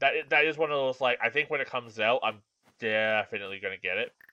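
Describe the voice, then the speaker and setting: A man talks at a moderate pace with a bright, sharp tone. The sound is dry and close, with no echo. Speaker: game streamer. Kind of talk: live gameplay commentary. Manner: casual, halting with repeated words.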